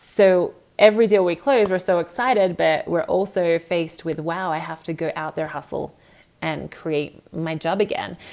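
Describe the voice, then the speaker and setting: With an Australian accent, a woman talks at a moderate pace in a fairly low pitch, her pitch shifting in an ordinary way. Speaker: real estate agent. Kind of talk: motivational talk. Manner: animated.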